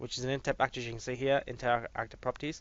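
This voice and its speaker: This voice belongs to a man. It sits at a medium pitch. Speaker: game design tutorial maker. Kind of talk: tutorial. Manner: fast; casual, with fillers.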